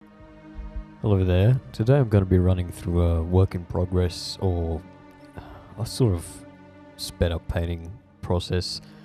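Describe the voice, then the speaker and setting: With music in the background, a man with a very deep, low pitch speaks at a fairly slow pace, using lively intonation and long, frequent pauses. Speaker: digital artist. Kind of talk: casual voice-over commentary on painting timelapse. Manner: rambling, hesitant, self-deprecating.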